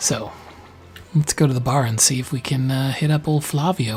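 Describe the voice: Someone does plain reading aloud, keeping the intonation fairly even.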